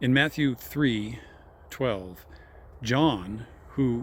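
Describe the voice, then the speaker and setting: The speaker is a man with a somewhat breathy voice. His pitch variation is ordinary. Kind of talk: informal religious talk. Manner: slow, deliberate; hesitant, self-correcting.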